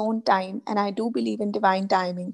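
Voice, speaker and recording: A woman speaks with an Indian accent and ordinary pitch variation. The background is quiet. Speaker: life coach; guest coach. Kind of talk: interview. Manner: hesitant, many filler sounds. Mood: calm, reflective, thankful. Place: home room. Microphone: video call.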